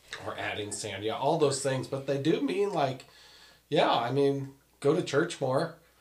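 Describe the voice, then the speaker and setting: A man's fairly high-pitched voice at a fairly slow pace, with ordinary pitch variation and noticeable background noise. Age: 40s. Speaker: married guest sharing marriage advice. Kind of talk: casual chat.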